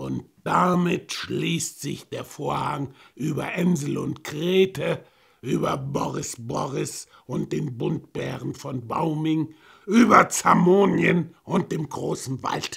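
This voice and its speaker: A put-on character voice, raspy and pitched low-to-middle. The pace is very slow. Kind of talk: fairy-tale ending narration. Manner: playful, solemn.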